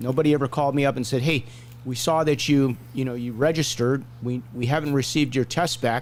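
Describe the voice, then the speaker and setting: A man talks fairly quickly at a medium pitch with fairly even intonation, a plain, everyday voice. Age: 60s. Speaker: hockey referee and show host. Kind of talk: casual chat.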